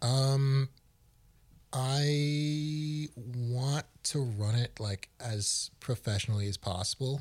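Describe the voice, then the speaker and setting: On a very clean recording with a silent background, a man talks at a very slow pace in a somewhat breathy, medium-pitched voice with ordinary pitch variation. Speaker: student podcast co-host. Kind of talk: casual chat.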